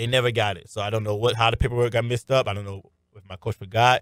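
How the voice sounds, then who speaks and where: Delivery is very fast with fairly even intonation in a dry, close, very clean recording with no echo and a silent background. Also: man. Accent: American. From Miami, Florida. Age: 20s. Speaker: arena football wide receiver. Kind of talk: radio interview. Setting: radio studio.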